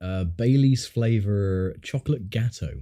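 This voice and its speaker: In a very clean recording with a silent background, a man speaks at a very slow pace with lively intonation and a fairly low pitch in a dark, mellow tone. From southern England. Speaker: gaming streamer. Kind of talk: casual chat. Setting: livestream. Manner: hesitant, filler-heavy.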